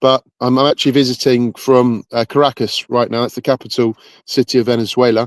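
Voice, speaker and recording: This man has a Bedfordshire accent and a medium pitch, talking at a fairly quick pace with fairly even intonation. The sound is dry and close with no echo, on a very clean recording with a silent background. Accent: British, Bedford twang. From England, Bedford and North London. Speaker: pickleball federation president. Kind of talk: podcast interview.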